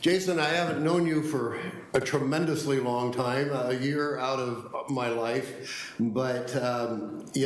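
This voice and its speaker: With audible room echo, a man talks at a fairly slow pace using ordinary pitch variation. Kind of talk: formal meeting tribute remarks. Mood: warm, appreciative. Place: hall. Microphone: podium.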